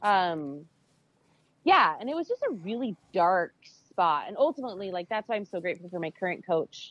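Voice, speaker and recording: A woman with an American accent has a plain, everyday voice of medium pitch, talking at a moderate pace with lively intonation and big swings in loudness. The sound is dry and close with no echo, over a quiet background. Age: 40s. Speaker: weightlifting champion. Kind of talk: interview.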